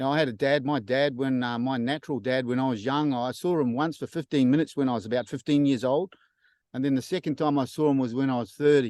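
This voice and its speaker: A man speaks at a fairly quick pace with an Australian accent. The background is quiet and the sound is dry and close, with no echo. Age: 60s. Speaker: church member sharing testimony. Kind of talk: testimony. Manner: halting, many fillers.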